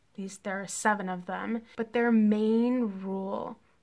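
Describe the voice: A woman's voice carries a slightly mellow tone. She speaks at a slow pace.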